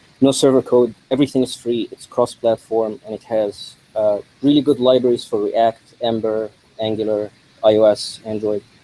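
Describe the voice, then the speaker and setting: This man's voice sits at a medium pitch with a monotone, flat intonation. His loudness swings widely, and the sound is dry and close with no echo. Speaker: conference speaker, developer. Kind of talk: tech talk. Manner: mumbling; fast.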